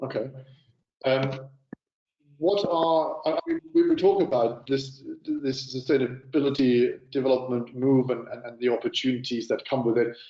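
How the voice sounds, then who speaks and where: With a German accent, a man speaks at a medium pitch. His pace is moderate and his pitch variation ordinary. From Germany. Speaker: panel moderator. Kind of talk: moderated panel discussion. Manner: halting, many fillers and repeats.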